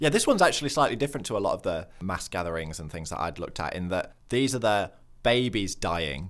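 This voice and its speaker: Talking at a very fast pace, a man with a fairly low pitch uses very wide pitch swings and big swings in loudness, captured on a very clean recording with a silent background. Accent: northern English. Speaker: nature podcast host. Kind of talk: casual comedic chat. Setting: studio.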